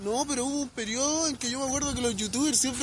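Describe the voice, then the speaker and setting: Over noticeable background noise, a man with a Chilean accent talks very fast at an extremely high pitch, with ordinary pitch variation. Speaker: podcast co-host. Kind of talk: casual chat.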